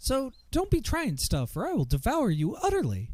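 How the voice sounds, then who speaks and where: Putting on a character voice at an extremely high pitch, a man talks at a moderate pace. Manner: cheery; menacing threat delivered cheerily.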